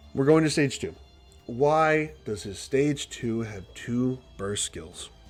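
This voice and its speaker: Over music in the background, a man speaks at a very slow pace, with lively intonation and big swings in loudness. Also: medium pitch for a man. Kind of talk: casual gaming commentary livestream. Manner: slurred.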